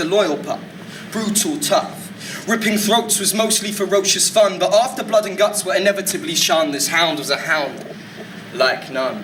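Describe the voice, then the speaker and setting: In a raised, projected voice, a man speaks at a moderate pace with a high pitch and lively intonation, amid audible room echo and noticeable background noise. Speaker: spoken word poet. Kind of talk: spoken word poetry performance. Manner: occasional stutters.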